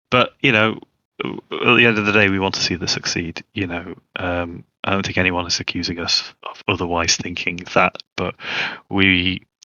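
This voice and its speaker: A man with a British accent, very deep and low in pitch, at a moderate pace with fairly even intonation. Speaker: open-source project developer. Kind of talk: livestream panel talk. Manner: many fillers and repetitions.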